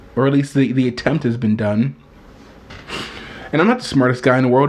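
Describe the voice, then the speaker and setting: Over noticeable background noise, a man talks at a fairly quick pace with a medium pitch and very even loudness. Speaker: video blogger. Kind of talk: casual monologue. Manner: animated.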